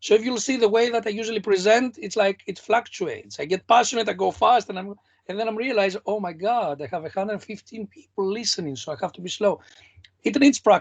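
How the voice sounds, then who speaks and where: Very fast speech with a non-native accent. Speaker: competition mentor. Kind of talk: online workshop feedback. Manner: animated.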